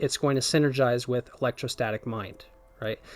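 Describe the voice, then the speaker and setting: Male speech with a normal range of pitch movement, backed by music. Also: dry, close sound with no echo. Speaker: gaming video creator. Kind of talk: gameplay build commentary. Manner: hesitant fillers, self-correcting.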